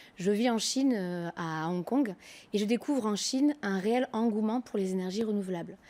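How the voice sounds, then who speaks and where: A woman's dark, mellow voice at medium pitch, moderate in pace with ordinary pitch variation, on a very clean recording with a silent background. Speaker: company co-founder and CEO. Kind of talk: TV business interview. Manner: hesitant, many fillers.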